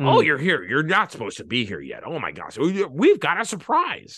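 A man uses a put-on character voice with a high pitch. His loudness rises and falls in big swings. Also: moderate pace. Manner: manic, surprised.

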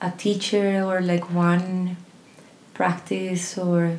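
Noticeable noise sits in the background. A woman's voice carries audible room echo. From Colombia. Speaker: voice teacher and singer. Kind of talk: casual interview chat.

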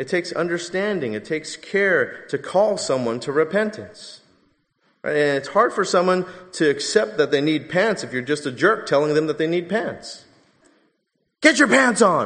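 With a Californian accent, the speaker uses lively intonation at a moderate pace. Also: man, high pitch for a man. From Southern California. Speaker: pastor. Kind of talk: sermon.

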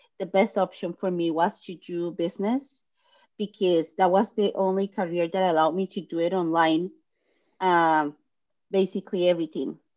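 Over a quiet background, a woman with a fairly low pitch talks at a moderate pace with fairly even intonation. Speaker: clinical research entrepreneur. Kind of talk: interview. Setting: video call. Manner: halting.

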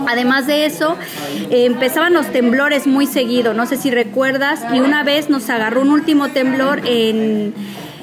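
Over noticeable background noise, a woman with a high pitch speaks at a fairly slow pace, her loudness very even and her intonation fairly even. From Mexico (Veracruz, Puebla, Mexico City). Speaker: restaurant and catering entrepreneur. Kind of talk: casual interview. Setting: restaurant.

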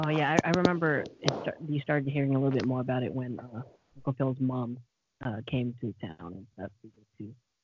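Talking at a fairly quick pace, a man uses a plain, everyday voice. His pitch is medium, with ordinary variation. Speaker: podcast guest. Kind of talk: casual chat.

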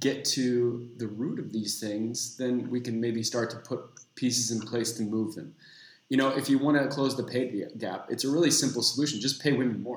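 An unremarkable speaking voice from a man, medium in pitch, fairly quick and fairly even in intonation. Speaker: inclusion consultant. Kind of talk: casual chat.

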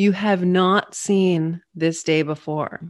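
Spoken at a fairly slow pace with fairly even intonation, this is a plain, everyday voice on a very clean recording with a silent background. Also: woman. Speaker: meditation guide and coach. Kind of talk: guided meditation. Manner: soft, slow, soothing; warm, gentle and encouraging.

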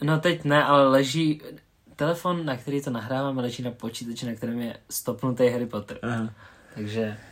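Medium in pitch, this man talks at a fairly quick pace with ordinary pitch variation. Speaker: podcast co-host. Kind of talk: casual chat.

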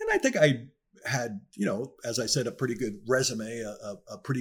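A man with an American accent talks in an unremarkable speaking voice at a fairly quick pace, his medium pitch carried by lively intonation. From northern New Jersey. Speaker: former video game coder and airline pilot. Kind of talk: interview.

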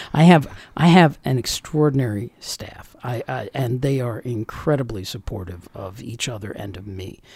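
Barely pausing, a man talks with lively intonation and a somewhat breathy sound, his loudness swinging widely in a very clean recording with a silent background. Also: medium pitch for a man, moderate pace. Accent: American. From Northern Virginia, US. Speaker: county election director. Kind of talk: interview. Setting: studio.

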